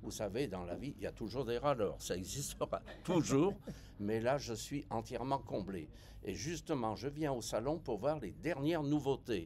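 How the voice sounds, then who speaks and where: A man with vocal fry speaks at a fairly slow pace, his intonation lively. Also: medium pitch for a man. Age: 70s. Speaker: veteran cruise passenger. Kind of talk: interview. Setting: travel fair.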